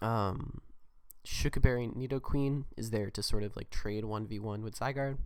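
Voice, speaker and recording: A soft-spoken man at a moderate pace, with fairly even intonation, big swings in loudness, and a very clean recording over a silent background. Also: medium pitch for a man. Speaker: gaming YouTuber. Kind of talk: gameplay commentary. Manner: quiet, soft. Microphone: holding mic close to be louder.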